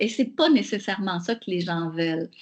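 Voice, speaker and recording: This woman's pitch swings very widely while she talks at a moderate pace, her voice somewhat breathy. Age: 60s. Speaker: professor. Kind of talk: webinar Q&A answer.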